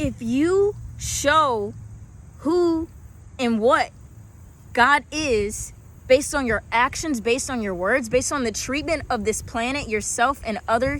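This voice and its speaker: The voice has an animated tone and ordinary pitch variation. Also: woman. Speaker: spiritual vlogger. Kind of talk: motivational talk.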